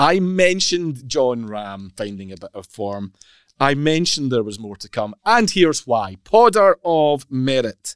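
Speaking at a fairly slow pace in a Scottish accent, a man with a medium-pitched voice makes very wide pitch swings and big swings in loudness, on a very clean recording with a silent background and a dry, close sound with no echo. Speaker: golf podcast host. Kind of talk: casual chat. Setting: studio.

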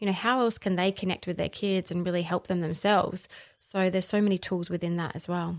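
In an Australian accent, a woman with a medium pitch speaks at a very fast pace with monotone, flat intonation on a very clean recording with a silent background. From South Australia, Barossa. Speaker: facilitator and holistic practitioner. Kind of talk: casual interview chat.

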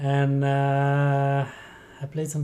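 A man talks with a French-Canadian accent. His tone is relaxed and somewhat breathy. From Quebec, Rivière-du-Loup. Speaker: triathlete. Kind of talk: interview.

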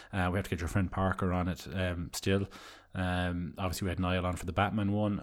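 Speaking at a fairly quick pace, a man with an Irish accent has a very deep, low voice. His intonation is a flat monotone. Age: 30s. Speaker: podcast co-host. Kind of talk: casual chat.

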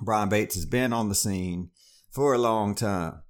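On a very clean recording with a silent background, a man with a normal speaking voice talks at a fairly low pitch with ordinary pitch variation. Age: 40s. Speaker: comedian and podcast host. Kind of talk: casual chat.

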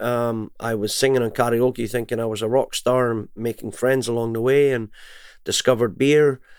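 At a moderate pace, a man talks in a Scottish accent. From Scotland. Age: 50s. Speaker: singer and music entrepreneur. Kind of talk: interview.

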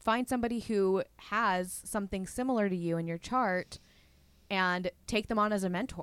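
Recorded with a dry, close sound and no echo, a woman with a plain, everyday voice talks at a moderate pace, her medium pitch following fairly even intonation. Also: very clean recording, silent background. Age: 20s. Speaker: podcast host. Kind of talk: casual interview chat.

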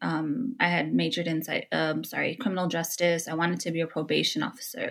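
In a very clean recording with a silent background, a woman with a Californian accent speaks at a fairly low pitch. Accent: Californian American English. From Los Angeles, California. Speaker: therapist. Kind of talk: interview conversation.

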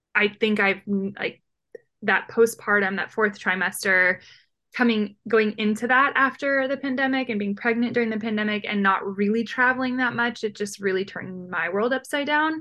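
A woman speaks at a moderate pace in a fairly high pitch with ordinary variation. Her tone is bright and sharp. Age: 30s. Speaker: travel blogger. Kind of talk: interview.

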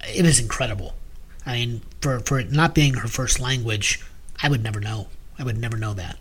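At a moderate pace and medium pitch, a man talks with ordinary pitch variation and long, frequent pauses, over noticeable background noise. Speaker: podcast co-host. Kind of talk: casual discussion of music.

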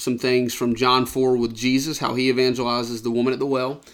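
This man speaks with a Southern US accent. His pitch is medium and his pace moderate. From US South, Georgia. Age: 20s. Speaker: podcast co-host. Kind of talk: casual Bible discussion. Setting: indoors at a round table.

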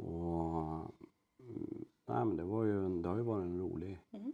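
A man's very deep, low-pitched voice with a dark, mellow tone. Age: 40s. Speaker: farrier. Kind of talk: interview. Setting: indoor riding arena at an equine clinic. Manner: halting.

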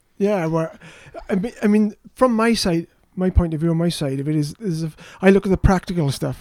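A man speaks with a Welsh accent at a high pitch and a moderate pace. The sound is dry and close with no echo, and his pitch varies in an ordinary way. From South Wales. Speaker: fantasy author. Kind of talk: casual interview chat. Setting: studio.

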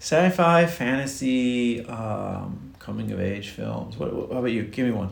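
With hardly any pauses and audible room echo, a man speaks at a fairly slow pace in a medium pitch with lively intonation. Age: 40s. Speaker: nurse. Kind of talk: casual chat.

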